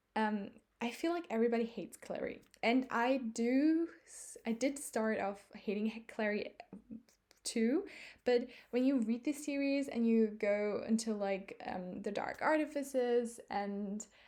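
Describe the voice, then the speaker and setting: Speaking at a fairly slow pace with a non-native accent, a woman uses a fairly high pitch, a dark, mellow tone and ordinary pitch variation. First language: not English. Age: 20s. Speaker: book vlogger. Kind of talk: casual monologue. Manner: halting, many fillers.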